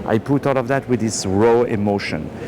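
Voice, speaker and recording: A man speaks rather quickly with noticeable background noise behind him. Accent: French. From France. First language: French. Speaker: film director. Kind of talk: red carpet interview. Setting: movie premiere.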